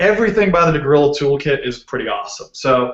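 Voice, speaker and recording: Ordinary pitch variation at a fairly quick pace. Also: man. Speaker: software developer, conference speaker. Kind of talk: technical talk. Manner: casual, filler-heavy.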